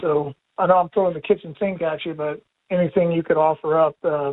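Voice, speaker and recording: A man with a plain, everyday voice and an American accent, fairly high in pitch, at a fairly quick pace with fairly even intonation. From West Virginia. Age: 40s. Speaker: firefighter, caller. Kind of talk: call-in question.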